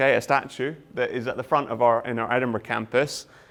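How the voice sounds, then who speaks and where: A man speaks with a Scottish accent at a medium pitch. His intonation stays fairly even. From Scotland. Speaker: university lecturer. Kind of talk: lecture. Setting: open day presentation with audience. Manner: hesitant, many fillers.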